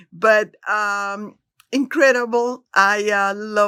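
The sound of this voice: A woman speaks at a slow pace with little pitch movement. Her tone is clear and smooth, as well as bright and sharp.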